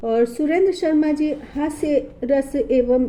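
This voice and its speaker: A woman is speaking. Her tone is dark and mellow. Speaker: advocate. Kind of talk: casual biographical narration to camera.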